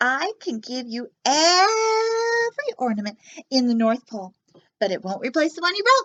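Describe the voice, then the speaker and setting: Using a put-on character voice, a woman speaks at a moderate pace with a high pitch and very wide pitch swings. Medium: read story. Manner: bubbly, giggly.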